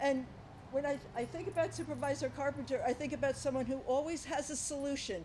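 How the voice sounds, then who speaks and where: A woman speaks in a high voice with ordinary pitch variation over light background noise. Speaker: hospital president. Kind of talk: public remarks. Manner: halting. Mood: warm, appreciative. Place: hall. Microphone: podium.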